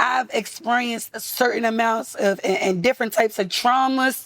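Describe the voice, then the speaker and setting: With a Baltimore accent, a woman's high, animated voice moves at a moderate pace with ordinary pitch variation. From US, Baltimore. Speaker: rapper. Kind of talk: casual interview.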